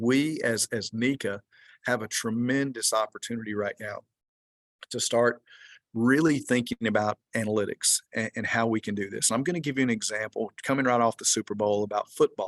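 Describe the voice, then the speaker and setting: Over a quiet background, a man with a Georgia accent talks at a medium pitch and a fairly quick pace, the sound dry and close with no echo. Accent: Georgia Southern US. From US, Georgia. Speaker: research organization executive director. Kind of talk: webinar presentation. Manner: animated.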